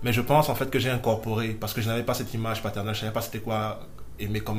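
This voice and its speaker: Over audible room echo, a man speaks at a very fast pace in a monotone, flat intonation. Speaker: podcast guest. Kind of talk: personal testimony. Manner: halting.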